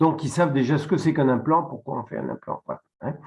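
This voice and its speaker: A man talks in a somewhat breathy voice. His pitch sits fairly high. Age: 60s. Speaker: dentist. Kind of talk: webinar presentation. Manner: halting.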